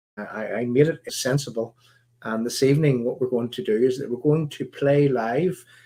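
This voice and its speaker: A man with a Northern Irish accent speaks at a moderate pace and medium pitch in a dark, mellow tone, with ordinary pitch variation. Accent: Northern Irish (Belfast). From Northern Ireland. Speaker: political activist and livestream host. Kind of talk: live stream talk. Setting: live stream broadcast. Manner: halting, many fillers and repeats.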